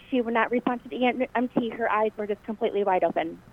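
Using a normal speaking voice, a woman talks at a fairly high pitch with ordinary pitch variation. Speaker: parent of injured student. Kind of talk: phone call telling her story. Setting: phone call.

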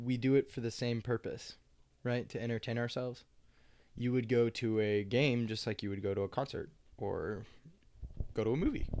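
At a moderate pace with long, frequent pauses, a man with a Midwestern American accent talks at a medium pitch with fairly even intonation. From Kansas (Lawrence). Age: 20s. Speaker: university student. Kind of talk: casual chat.

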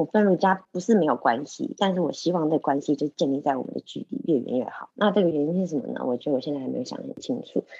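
A woman with a dark, mellow tone and fairly low pitch talks very fast, with very wide pitch swings and hardly any pauses. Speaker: podcast co-host. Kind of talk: casual discussion of a scholarly book. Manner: animated.

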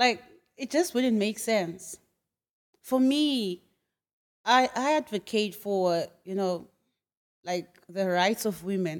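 With a Zimbabwean accent and a medium pitch, a woman talks very slowly with lively intonation and long, frequent pauses. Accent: Zimbabwean (Ndebele) English. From Zimbabwe, Bulawayo. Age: young. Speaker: entrepreneur and graduate student. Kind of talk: casual interview. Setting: studio.

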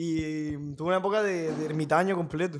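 A man's voice with fairly even intonation. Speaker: podcast host. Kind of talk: casual chat.

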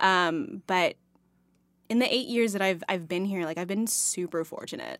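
A woman with an American accent speaks at a moderate pace in a medium pitch, with ordinary pitch variation. The recording is very clean, with a silent background. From Texas, near Dallas. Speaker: actress. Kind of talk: casual interview chat. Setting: studio.

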